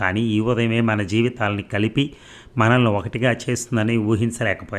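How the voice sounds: What you hear is a natural reading voice.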